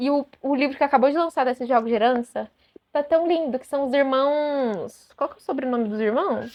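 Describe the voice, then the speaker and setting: A woman with a Brazilian accent speaks at a high pitch. Her pitch variation is ordinary, while her loudness swings widely. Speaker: booktuber. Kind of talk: casual chat. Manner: fast; animated.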